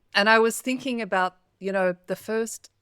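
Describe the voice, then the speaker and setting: A woman with an Australian accent and a bright, sharp tone at a moderate pace, in a very clean recording with a silent background and a dry, close sound with no echo. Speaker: spiritual coach and podcast host. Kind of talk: interview.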